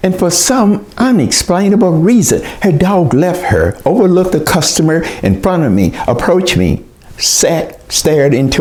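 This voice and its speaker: Noticeable background noise accompanies this recording. A man with an American accent speaks at a fairly high pitch. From US South, southeastern Oklahoma. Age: 80s+. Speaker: educator and author. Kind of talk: storytelling presentation.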